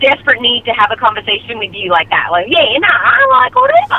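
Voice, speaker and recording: A woman with a high pitch speaks in an animated tone amid noticeable background noise. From Melbourne, Australia. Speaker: voice actress. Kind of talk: casual chat. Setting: live stream.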